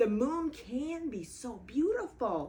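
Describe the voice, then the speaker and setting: A female-sounding, put-on character voice speaks at a fairly slow pace, high in pitch with very wide pitch swings. Light background noise is present. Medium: read story.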